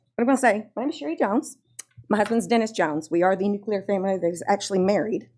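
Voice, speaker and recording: This woman talks very fast in a Louisiana accent, her medium-pitched voice carrying lively intonation. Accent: Southern US (Louisiana). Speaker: parent speaking at public comment. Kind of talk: public comment at board meeting. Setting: school board meeting.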